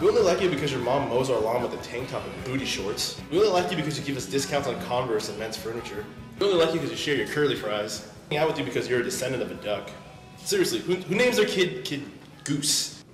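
Clear music plays in the background with audible room echo. Over it, a man talks at a very fast pace. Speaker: student actor. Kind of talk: comedic scripted lines. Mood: teasing, jokey. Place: hall. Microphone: camera far.

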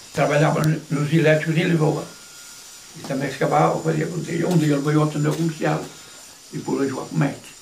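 At a very fast pace, a man talks with a fairly high pitch and ordinary pitch variation over light background noise. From Cibões, Terras de Bouro, Minho, northern Portugal. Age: 80s+. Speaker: retired stick-fighting master and former head cook. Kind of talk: interview answer. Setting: at home. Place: home room. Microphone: camera far.

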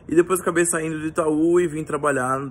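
A man speaking at a fairly quick pace with ordinary pitch variation. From São Paulo, Brazil. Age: 20s. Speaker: recent marketing graduate. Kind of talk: self-introduction video. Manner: frequent fillers and hesitations.

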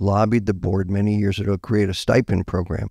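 In a dry, close recording with no echo, a man speaks low with a dark, mellow tone, vocal fry and little pitch movement.

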